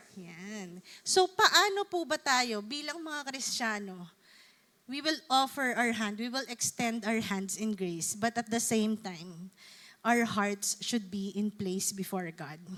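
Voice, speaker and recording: Very slowly, a woman speaks with lively intonation. Her fairly high voice has a bright, sharp tone. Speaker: preacher. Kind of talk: sermon.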